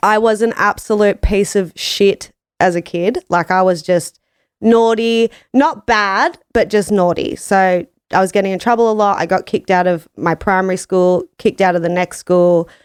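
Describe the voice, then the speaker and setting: Mid-range female voice recorded close and dry, without any echo. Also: ordinary pitch variation, moderate pace, very clean recording, silent background. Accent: strong Australian. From Australia, Gold Coast, Queensland. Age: 30s. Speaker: business owner. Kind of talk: casual interview chat. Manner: loud, brash.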